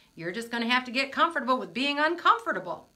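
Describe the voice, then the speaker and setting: A woman with a Midwestern American accent and a fairly high pitch. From US Midwest, Michigan. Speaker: motivational speaker, coach. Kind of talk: live stream talk to viewers. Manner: casual, chatty.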